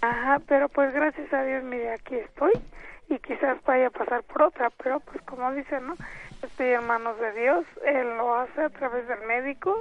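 Her delivery moving at an unhurried, middling speed, a woman speaks in a high register and keeps her intonation fairly level. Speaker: caller giving testimony. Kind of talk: phone testimony.

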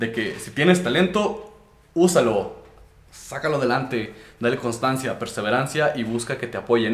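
Noticeable background noise and audible room echo around a man talking. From Mexico, Durango. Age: young. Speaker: podcast host and rapper. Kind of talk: casual chat. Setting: hot small room.

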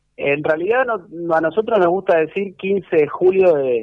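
A man's high-pitched voice with lively intonation. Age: 30s. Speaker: club historian. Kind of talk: radio interview. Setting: at home.

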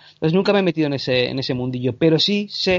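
A man speaks at a fairly quick pace with lively intonation over noticeable background noise. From Canary Islands, Spain. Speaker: short filmmaker and podcaster. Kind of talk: casual interview chat.

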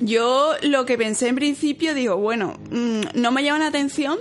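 Noticeable background noise sits behind a woman's voice. Her pitch is high, with ordinary pitch variation. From Seville, Andalusia, Spain. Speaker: chemical engineer and youtuber. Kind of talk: casual interview chat.

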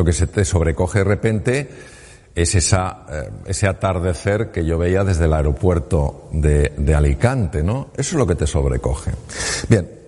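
A man with a very deep, low pitch speaks at a moderate pace, with lively intonation. There is noticeable background noise. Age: 60s. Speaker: surgeon turned speaker. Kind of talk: talk to an audience.

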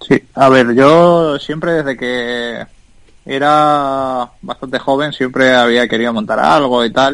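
Very slowly, a man talks, his pitch varying in an ordinary way. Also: medium pitch for a man. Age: 30s. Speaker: tech entrepreneur. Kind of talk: interview.

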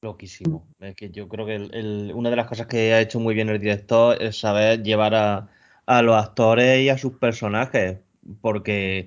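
An ordinary speaking voice from a man at medium pitch, fairly slow, with fairly even intonation. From Murcia, Spain. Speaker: podcast co-host. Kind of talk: casual chat.

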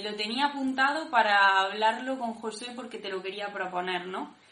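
Against noticeable background noise and audible room echo, a woman speaks with a fairly high pitch and ordinary pitch variation. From Granada, Spain. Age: 20s. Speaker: discipleship school participant. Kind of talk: personal testimony.

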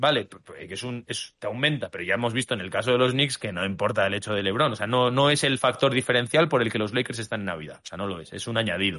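Speaking at a very fast pace with hardly any pauses, a man shows big swings in loudness. His pitch varies in an ordinary way. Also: medium pitch for a man. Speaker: basketball podcast co-host. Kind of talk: casual chat.

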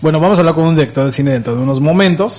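A man's fairly high voice with lively intonation over noticeable background noise. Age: 40s. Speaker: radio host. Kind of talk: casual chat.

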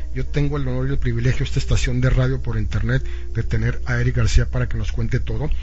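Noticeable background noise and audible room echo fill the recording. A man with a very deep, low pitch speaks very fast in a monotone, flat intonation. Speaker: radio host. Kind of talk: live radio interview.

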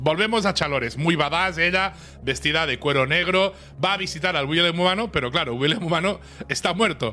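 A man with a Spanish accent speaks at a fairly quick pace in an animated tone, his pitch high. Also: ordinary pitch variation. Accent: Peninsular Spanish. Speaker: podcast co-host. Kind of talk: episode recap read from notes.

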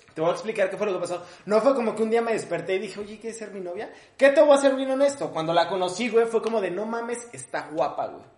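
A man with a Mexico City accent, high-pitched and very fast, with lively intonation, big swings in loudness and noticeable background noise. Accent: Mexico City area Mexican Spanish. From Mexico, Ecatepec (State of Mexico). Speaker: comedian. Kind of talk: casual chat.

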